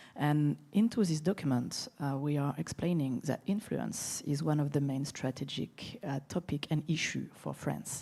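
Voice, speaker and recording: A woman with a French accent speaks at a fairly slow pace with hardly any pauses, her very deep, low pitch showing ordinary variation, vocal fry and a dark, mellow tone. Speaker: security expert, conference panelist. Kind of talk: panel discussion.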